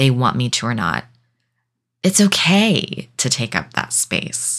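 The speaker goes at a fairly slow pace on a very clean recording with a silent background. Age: 30s. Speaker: podcast host and self-taught writer. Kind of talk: personal monologue. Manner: emphatic, heartfelt.

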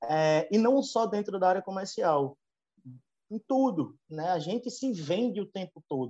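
A man's high voice with a dark, mellow tone and very wide pitch swings, at a fairly slow pace in a dry, close sound with no echo. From Northeast Brazil (Alagoas). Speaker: veterinarian, livestock consultant. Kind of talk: interview. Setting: video call. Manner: hesitant, many filler repetitions.

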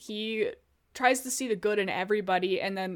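A woman with an American accent, medium pitch, ordinary pitch variation and a moderate pace, on a very clean recording with a silent background. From US Midwest, Illinois. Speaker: podcast co-host. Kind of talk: casual chat. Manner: animated.

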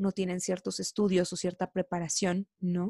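A dark, mellow tone at a moderate pace, in a very clean recording with a silent background. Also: woman. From Mexico, Veracruz (Coatzacoalcos). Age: 20s. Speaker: podcast co-host. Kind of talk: casual chat.

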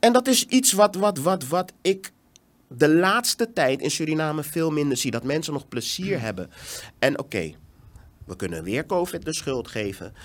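Here a man talks at a moderate pace with a fairly high pitch. His pitch swings very widely. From Netherlands. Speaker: education entrepreneur. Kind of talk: casual interview. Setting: studio.

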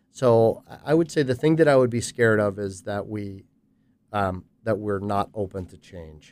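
A man talks at a moderate pace in a fairly low pitch with ordinary pitch variation and big swings in loudness. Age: 50s. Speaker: business executive and consultant. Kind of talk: interview conversation. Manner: halting, many fillers.

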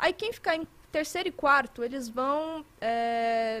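A woman with a bright, sharp tone talks at a very slow pace, her pitch moving in an ordinary way. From Minas Gerais, Brazil. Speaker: esports commentator. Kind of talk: casual chat.

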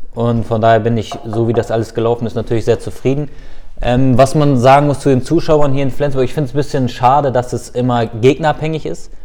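The man speaks at a very fast pace and a medium pitch. Noticeable background noise runs underneath. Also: fairly even intonation. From Lower Saxony, Germany (Hildesheim/Hannover). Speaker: professional footballer. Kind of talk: casual interview.

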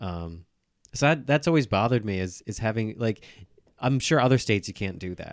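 Recorded very cleanly against a silent background, a man with an unremarkable speaking voice and medium pitch talks at a fairly quick pace with lively intonation. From Orange County, New York. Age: 30s. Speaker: stand-up comedian. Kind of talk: casual chat.

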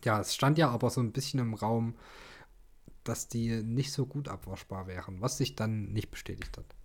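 A somewhat breathy man speaks at a moderate pace in a very clean recording with a silent background. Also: ordinary pitch variation. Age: 20s. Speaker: podcast co-host. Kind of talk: casual chat. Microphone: sits very close to the mic, low level.

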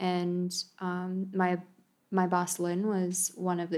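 The speaker has an American accent and monotone, flat intonation. It is a very clean recording with a silent background. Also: woman. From United States. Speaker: events manager. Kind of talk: casual interview chat.

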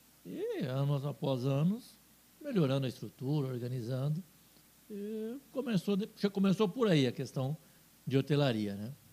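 With lively intonation and long, frequent pauses, a man speaks at a moderate pace in a fairly high pitch. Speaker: businessman and TV station owner. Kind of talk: casual interview.

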